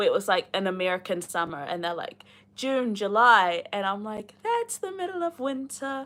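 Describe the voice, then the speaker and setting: Her voice fairly high, a woman with a New Zealand accent speaks at a moderate pace with very wide pitch swings. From New Zealand, Rotorua. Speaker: booktuber reading a novel aloud on a livestream. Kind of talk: reading aloud with casual chat to live viewers. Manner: casual, chatty with many fillers.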